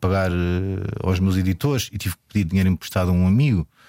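A man with a very deep, low pitch speaks with fairly even intonation, recorded dry and close with no echo in a very clean recording with a silent background. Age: 40s. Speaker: filmmaker. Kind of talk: interview. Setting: radio studio. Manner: halting.

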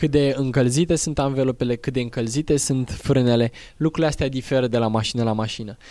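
A man's fairly quick delivery in a medium pitch, with fairly even intonation and an unremarkable speaking voice. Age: 20s. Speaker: rally driver and driving instructor. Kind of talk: interview. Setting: outdoors.

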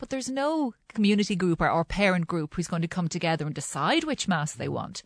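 With an Irish accent and very wide pitch swings, a woman speaks fairly quickly at a fairly low pitch with hardly any pauses, her voice dry and close with no echo against a quiet background. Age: 40s. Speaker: journalist and communications consultant. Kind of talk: panel discussion on radio. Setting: radio studio.

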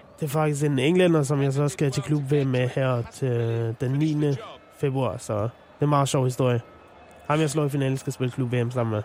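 A man with an ordinary speaking voice and medium pitch talks at a moderate pace, with fairly even intonation and very even loudness. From Denmark, North Zealand. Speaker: professional esports player. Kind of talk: radio interview.

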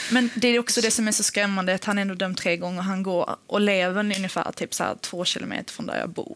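Woman at medium pitch, fairly quick pace, a normal speaking voice. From Sweden, Helsingborg (Skåne). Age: 20s. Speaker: podcast guest. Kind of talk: personal testimony.

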